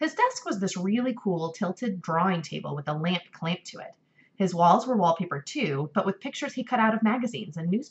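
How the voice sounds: Lively intonation in a natural reading voice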